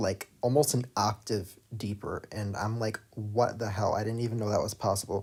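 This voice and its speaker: A somewhat breathy man with an American accent and ordinary pitch variation. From United States. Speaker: streamer and animator. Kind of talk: live stream Q&A.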